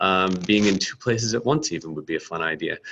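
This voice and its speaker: This man talks at a fairly quick pace. Light background noise runs underneath. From United States. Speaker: startup founder and CEO. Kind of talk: product presentation. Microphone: webcam.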